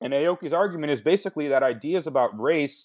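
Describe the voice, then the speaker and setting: The background is quiet. A man speaks with an American accent at a moderate pace. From US Midwest, Michigan. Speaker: historian and author. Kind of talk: academic interview.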